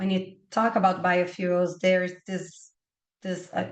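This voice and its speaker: Talking at a fairly slow pace, a woman with a Portuguese accent uses a fairly low pitch. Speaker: webinar panelist on bioenergy. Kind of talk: webinar presentation. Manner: halting, many fillers and repetitions.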